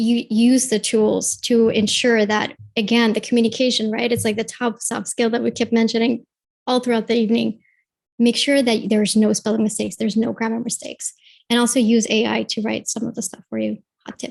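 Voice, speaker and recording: A woman speaks at a fairly quick pace in a fairly high, somewhat breathy voice with monotone, flat intonation. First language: not English. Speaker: UX mentor. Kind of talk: panel discussion.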